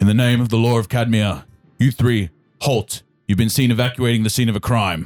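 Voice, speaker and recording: A booming, medium-pitched put-on character voice from a man, very even in loudness, at a fairly quick pace with faint music in the background. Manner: authoritative, commanding.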